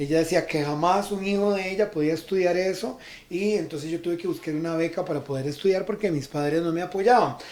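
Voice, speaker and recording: A man with a high voice speaks at a fairly quick clip in an animated tone, his pitch rising and falling in an ordinary way. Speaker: radio host and life coach. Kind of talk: radio interview.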